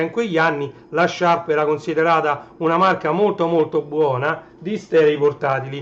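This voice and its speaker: Loud and high-pitched, the man speaks at a moderate pace. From Naples, southern Italy. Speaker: livestreamer, retro tech collector. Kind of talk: casual livestream chat. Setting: live stream.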